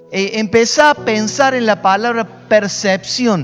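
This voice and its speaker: Very slow speech with ordinary pitch variation over music in the background. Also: man. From Argentina, Córdoba. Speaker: pastor. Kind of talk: sermon. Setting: home recording. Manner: emphatic.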